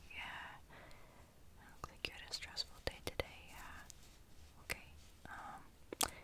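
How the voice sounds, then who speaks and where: Someone whispers over noticeable background noise. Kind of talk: ASMR personal attention roleplay. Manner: whispered, soft-spoken.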